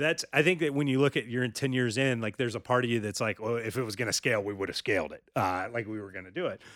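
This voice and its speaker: In a very clean recording with a silent background, a man with an American accent talks at a very fast pace with hardly any pauses, at medium pitch with ordinary pitch variation. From North Carolina. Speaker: high school sports journalist and publisher. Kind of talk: casual interview chat.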